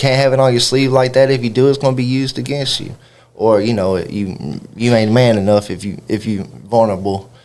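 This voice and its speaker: At a fairly quick pace, a man of medium pitch talks with a strong Kentucky accent and ordinary pitch variation. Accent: Kentucky Southern twang, strong. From Kentucky (Louisville, then Butler County/Bowling Green). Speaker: rapper. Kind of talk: radio interview. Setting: radio studio.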